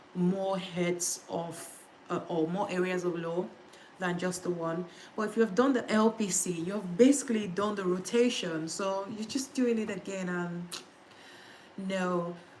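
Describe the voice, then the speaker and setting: A woman at medium pitch speaks at a fairly slow pace with fairly even intonation, and background noise is noticeable. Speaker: litigation solicitor. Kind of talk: casual study-with-me livestream talk to viewers. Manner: relaxed, conversational.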